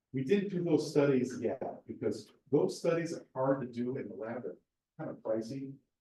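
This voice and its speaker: A man's voice sits at a fairly high pitch, with a dark, mellow tone. It is somewhat breathy, and its pitch varies in an ordinary way. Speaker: research scientist, seminar speaker. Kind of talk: lecture; Q&A answer. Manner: fast.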